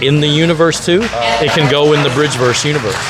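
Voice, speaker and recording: Music in the background and audible room echo around a man's moderately paced speech. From US South, Nashville, Tennessee. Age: 50s. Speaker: convention organizer and comic book creator. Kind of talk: interview. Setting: comic convention at a museum. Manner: halting, many repeated words and fillers.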